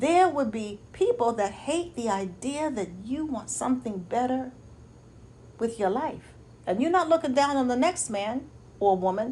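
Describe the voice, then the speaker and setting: A woman's high voice in an American accent, animated in tone, with very wide pitch swings at a moderate pace. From New York City, Lower East Side. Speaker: motivational speaker and life coach. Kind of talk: motivational talk.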